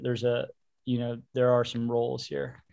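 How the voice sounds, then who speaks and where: It is an ordinary speaking voice. The delivery moves at a moderate pace. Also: man. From Baltimore, US. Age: 30s. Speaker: indie rock musician. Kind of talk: casual chat.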